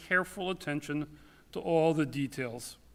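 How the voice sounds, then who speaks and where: A loud man talks at a moderate pace with fairly even intonation on a very clean recording with a silent background. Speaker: rabbi. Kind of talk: eulogy. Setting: synagogue sanctuary.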